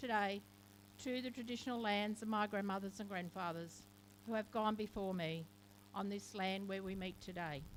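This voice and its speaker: A woman talks with an Australian accent. Her pitch is medium and her pace moderate. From Australia, Camden (Macarthur region, NSW). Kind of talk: ceremonial speech. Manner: formal.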